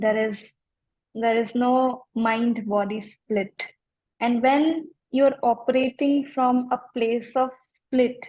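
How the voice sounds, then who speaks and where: A woman speaks at a very slow pace in a high voice with fairly even intonation. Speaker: life coach. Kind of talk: interview.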